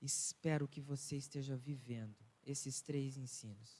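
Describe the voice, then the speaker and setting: A man's fairly high, somewhat breathy voice, fairly slow and monotone, with flat intonation. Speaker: pastor. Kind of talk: sermon. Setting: church.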